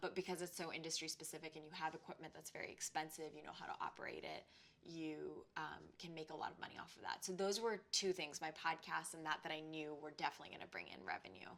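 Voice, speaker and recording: A woman talks at a very fast pace with hardly any pauses and fairly even intonation. Her pitch is very deep and low, with vocal fry. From immigrant, came to the US at age eleven. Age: 20s. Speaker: freelance journalist and podcaster. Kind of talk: interview monologue.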